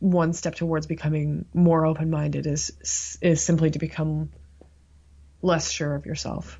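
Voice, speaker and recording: Speaking with a Canadian accent, a woman has a very deep, low, somewhat breathy voice. Her intonation is monotone and flat, and her pace is very slow. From Canada, Toronto (Scarborough). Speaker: psychology professor. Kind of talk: interview.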